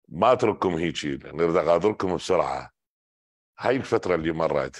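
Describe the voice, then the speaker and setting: The man talks at a moderate pace, and the background is quiet. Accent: Iraqi. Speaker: political commentator. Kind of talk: political commentary monologue.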